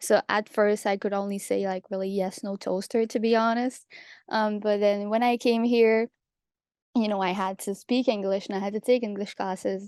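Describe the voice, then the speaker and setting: With a Quebec French accent, a woman speaks at a moderate pace and medium pitch in monotone, flat intonation, with a dry, close sound with no echo. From Quebec, Canada. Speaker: pharmacy student. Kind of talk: panel talk.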